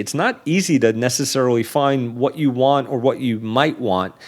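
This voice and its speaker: The speaker is a man with an American accent. He talks at a moderate speed. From New York City, Staten Island. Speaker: business journalist. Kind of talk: interview.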